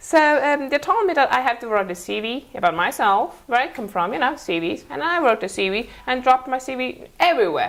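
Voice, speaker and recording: A woman with a Mongolian accent speaks at a high pitch with very wide pitch swings, moving at a fairly quick pace with hardly any pauses. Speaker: interview guest, former student. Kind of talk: interview. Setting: TV studio. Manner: halting, many fillers.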